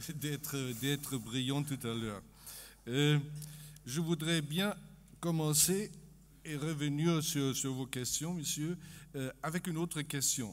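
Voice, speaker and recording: A man with a German accent and a fairly high pitch talks at a very slow pace, using ordinary pitch variation. Long, frequent pauses break up his speech on a very clean recording with a silent background. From Germany. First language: German (speaking French). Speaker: economist. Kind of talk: conference talk. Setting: conference stage with audience. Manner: halting, many hesitations.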